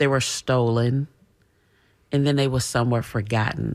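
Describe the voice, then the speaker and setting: A woman's very deep, low-pitched voice with an American accent and fairly even intonation. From Tampa, Florida. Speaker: civil rights organization leader. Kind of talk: radio interview. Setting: radio studio.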